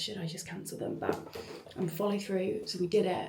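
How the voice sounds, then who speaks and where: A woman speaks with ordinary pitch variation. Noticeable background noise and audible room echo come through. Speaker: small business owner and event host. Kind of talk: vlog. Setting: at home in bathroom. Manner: soft-spoken.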